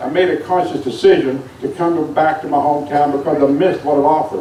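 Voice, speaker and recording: Audible room echo and noticeable background noise surround a man with an American accent. He talks at a fairly quick pace in a fairly high pitch. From West Virginia (Buckhannon). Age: 60s. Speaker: city official. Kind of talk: public speech. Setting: outdoors. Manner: formal.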